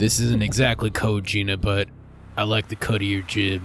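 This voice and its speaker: Over clear background noise, a man uses a raspy, put-on character voice at a fairly low pitch. His pace is moderate and his intonation monotone and flat. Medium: actual play.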